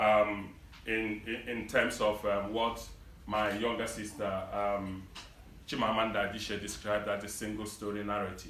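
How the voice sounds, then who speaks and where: Amid noticeable background noise and audible room echo, a man with a Nigerian accent speaks at a moderate pace in a fairly low pitch with monotone, flat intonation. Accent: Nigerian English (Igbo). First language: Igbo. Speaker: community leader. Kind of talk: public speech. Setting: event hall with audience.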